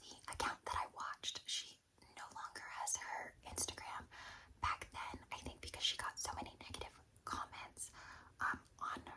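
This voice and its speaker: A woman whispers. She keeps a moderate pace. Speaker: ASMR content creator. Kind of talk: ASMR whispered Q&A while doing makeup. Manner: whispered.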